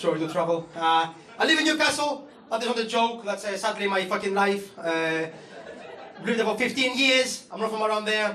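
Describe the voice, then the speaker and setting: A man with a Greek accent projects a raised, high-pitched voice with ordinary pitch variation at a moderate pace. Audible room echo and noticeable background noise surround him. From Greece. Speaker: comedian. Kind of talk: stand-up. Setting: stage with audience.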